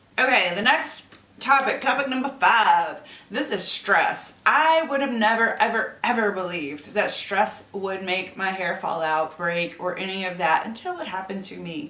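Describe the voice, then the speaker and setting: Noticeable background noise and audible room echo surround a woman's medium-pitched voice. She talks at a moderate pace with lively intonation and big swings in loudness. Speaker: beauty YouTuber. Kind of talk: tutorial. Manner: casual, filler-heavy.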